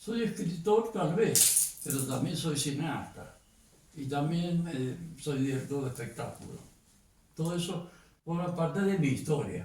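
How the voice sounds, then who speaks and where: With a Cuyo Argentine accent, the speaker goes at a fairly slow pace with ordinary pitch variation, amid noticeable background noise and audible room echo. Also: man, fairly high pitch for a man. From Argentina, Mendoza. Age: 80s+. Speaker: poet and filmmaker. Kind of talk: interview.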